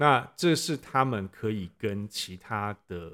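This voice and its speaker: On a very clean recording with a silent background, a man speaks at a fairly low pitch in a bright, sharp tone with lively intonation. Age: 50s. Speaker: parent of student, former tech executive. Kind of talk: interview. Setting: classroom.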